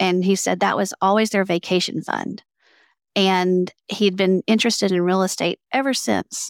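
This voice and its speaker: In a Southern US accent, the speaker keeps a moderate pace, fairly even intonation and very even loudness, recorded very cleanly against a silent background with a dry, close sound with no echo. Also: woman, medium pitch for a woman. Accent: Southern American. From US South. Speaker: entrepreneur and author. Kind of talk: interview conversation.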